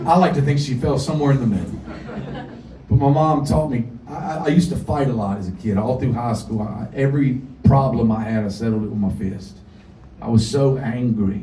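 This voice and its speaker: In a Southern US accent, a man with a medium pitch and ordinary pitch variation talks at a fairly quick pace amid noticeable background noise and audible room echo. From US South (North Carolina). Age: 40s. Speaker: singer-songwriter. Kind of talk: storytelling on stage. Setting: stage with audience.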